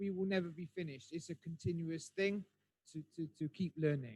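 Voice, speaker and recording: Here a man with a West Country accent speaks at a high pitch with ordinary variation and a dark, mellow tone. The sound is dry and close, with no echo. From southwest England (Bristol). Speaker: English conversation speaker. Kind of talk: webinar talk. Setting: online webinar. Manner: hesitant, many fillers.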